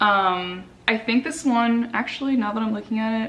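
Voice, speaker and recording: Over noticeable background noise, a woman talks in an animated tone. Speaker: lifestyle vlogger. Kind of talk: casual haul video chat.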